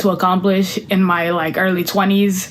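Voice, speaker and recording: Audible room echo and noticeable background noise surround the voice of a woman. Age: 20s. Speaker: content creator and singer. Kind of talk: casual vlog chat. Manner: casual, rambling with fillers.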